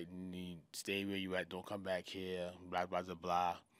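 A man's very deep, low voice in monotone, flat intonation, on a very clean recording with a silent background. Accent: New York. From Queens, New York. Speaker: music manager. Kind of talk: casual interview chat.

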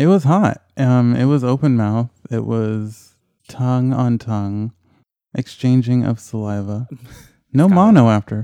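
On a very clean recording with a silent background and a dry, close sound with no echo, a man at a medium pitch speaks at a fairly slow pace in a dark, mellow tone with ordinary pitch variation. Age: 30s. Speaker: podcast guest. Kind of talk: casual interview chat.

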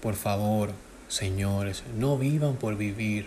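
Speaking at a medium pitch, a man shows ordinary pitch variation. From Dominican Republic. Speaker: podcast host, self-taught IT technician. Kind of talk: solo podcast talk on neuroscience and self-help. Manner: hesitant, with fillers.

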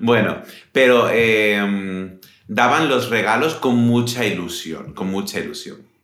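A man talks at a very slow pace with a medium pitch and ordinary pitch variation. Audible echo fills the room. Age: 30s. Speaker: podcast host, Spanish teacher. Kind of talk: casual chat for language learners. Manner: slower than usual pace.

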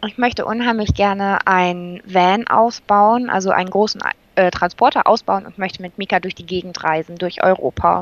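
Speaking in a plain, everyday voice, a woman keeps a medium pitch with fairly even intonation. Her pace is moderate, with big swings in loudness. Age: 20s. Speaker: occupational therapy trainee with therapy dog. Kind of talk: interview.

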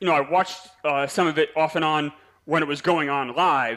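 A man speaks in an ordinary speaking voice. His pitch sits fairly high. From New York. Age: 40s. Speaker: podcast host and fan guest. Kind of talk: casual chat.

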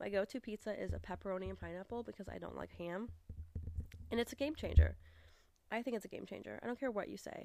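A raspy, put-on character voice at a very fast pace, with big swings in loudness and long, frequent pauses. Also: woman. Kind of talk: casual, conversational.

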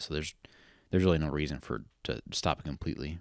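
A man's very deep, low voice carries vocal fry and fairly even intonation in a very clean recording with a silent background. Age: 30s. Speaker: podcast host. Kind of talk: casual chat.

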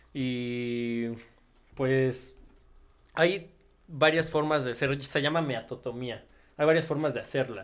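A man's medium-pitched voice with fairly even intonation at a very slow pace, broken by long, frequent pauses. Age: 20s. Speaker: body modification enthusiast. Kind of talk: casual chat. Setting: studio.

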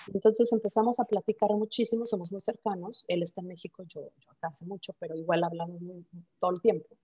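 A woman with a Mexican accent, dark and mellow in tone, somewhat breathy, at a very fast pace, with ordinary pitch variation and big swings in loudness. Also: medium pitch for a woman. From Mexico. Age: 40s. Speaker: startup founder. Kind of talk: interview.

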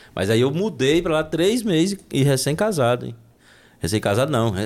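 The audio is very clean and the background silent. A man's pitch rises and falls across a very wide range. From Brazil, Minas Gerais (Unaí, rural). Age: 40s. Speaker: entrepreneur and accountant. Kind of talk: casual interview.

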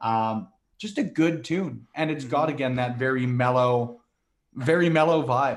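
A man in an ordinary speaking voice, fairly high in pitch, with ordinary pitch variation. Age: 20s. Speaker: wrestling media creator. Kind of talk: casual chat.

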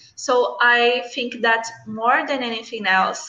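In a Brazilian accent, a woman speaks at a very slow pace with a fairly high pitch and a bright, sharp tone. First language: Portuguese. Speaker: English learner. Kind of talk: conversation practice. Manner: halting.

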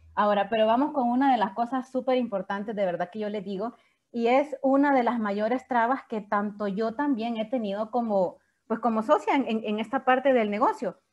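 A woman with an ordinary speaking voice talks at a moderate pace against a quiet background. Her pitch is fairly high, with ordinary pitch variation. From El Salvador, San Salvador. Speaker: network marketing leader and surgeon. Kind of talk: training talk.

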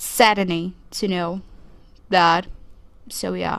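A woman with a Portuguese accent at a very slow pace, against a quiet background. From Brazil. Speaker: podcast host. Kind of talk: solo podcast monologue. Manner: casual, conversational.

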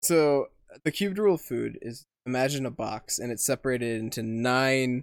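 This man has an unremarkable speaking voice at medium pitch. His pitch varies in an ordinary way, and the sound is dry and close with no echo. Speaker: podcast co-host. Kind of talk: casual banter. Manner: playful, joking.

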